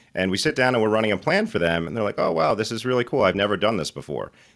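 A man talks with lively intonation. The recording is very clean, with a silent background. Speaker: certified financial planner. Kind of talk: casual chat.

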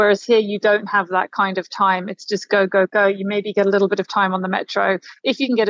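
At a fairly quick pace, a woman speaks in a normal speaking voice at medium pitch with fairly even intonation and a dry, close sound with no echo. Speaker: journalist reporting from Doha. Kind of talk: casual interview chat. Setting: remote interview from Qatar.

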